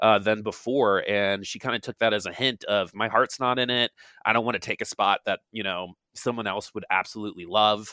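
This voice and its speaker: At a fairly quick pace, a man speaks at a fairly low pitch with fairly even intonation in an unremarkable speaking voice. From US East Coast. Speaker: esports commentator. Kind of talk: casual interview chat.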